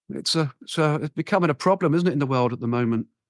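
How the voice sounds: A man talks at a fast pace with fairly high pitch and ordinary pitch variation. The sound is dry and close with no echo.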